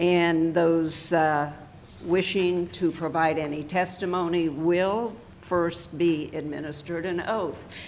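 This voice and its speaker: Amid noticeable background noise and audible room echo, a woman talks fairly slowly at a fairly low pitch. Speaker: county commissioner chairing the session. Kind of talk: public meeting proceedings. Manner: loud; formal.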